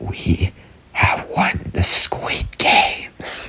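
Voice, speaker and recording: A man whispers and growls in a put-on character voice. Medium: read story. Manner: low muttering.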